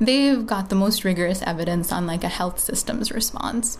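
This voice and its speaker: A woman talks with lively intonation over noticeable background noise and audible room echo. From Bangladesh. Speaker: public health NGO worker. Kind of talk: interview conversation.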